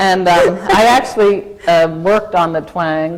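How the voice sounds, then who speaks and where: Against noticeable background noise, a woman with an American accent talks at a fairly low pitch with lively intonation. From Kansas. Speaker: corporate lawyer. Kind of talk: interview in front of an audience. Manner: halting, with repeated false starts.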